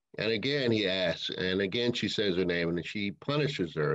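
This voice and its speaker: This man talks at a moderate pace with lively intonation and an unremarkable speaking voice. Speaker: minister, sermon speaker. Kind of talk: sermon delivered to a congregation.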